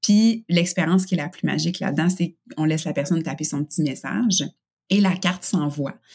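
Somewhat breathy and fairly low-pitched, a woman with a Quebec accent talks at a fairly quick pace with ordinary pitch variation. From Quebec, Canada. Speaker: workplace engagement expert. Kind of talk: interview. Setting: video call.

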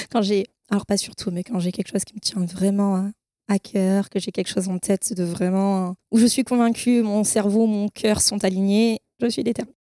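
A dark, mellow tone carries monotone, flat intonation at a moderate pace. The sound is dry and close with no echo, on a very clean recording with a silent background. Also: woman, medium pitch for a woman. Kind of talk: testimony.

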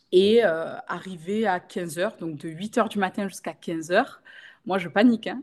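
An unremarkable speaking voice from a woman of medium pitch, fairly slow, with ordinary pitch variation over a quiet background. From Marseille, southern France. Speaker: makeup artist and training school owner. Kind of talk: podcast interview.

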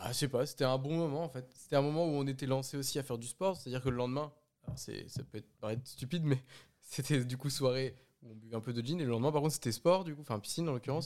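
A man's medium-pitched voice at a very fast pace with fairly even intonation. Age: 20s. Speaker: podcast guest. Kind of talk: casual chat.

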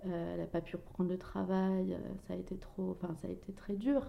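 A woman speaks at a moderate pace in a normal speaking voice. Her pitch sits in the middle range. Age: 30s. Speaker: mother and Instagram blogger. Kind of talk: personal testimony interview.

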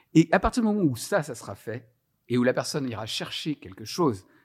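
The pitch swings very widely up and down at a moderate pace. The recording is very clean, with a silent background. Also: man. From France, Lyon. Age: 50s. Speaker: HR training coordinator. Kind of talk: casual interview. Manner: hesitant, many fillers and repetitions.

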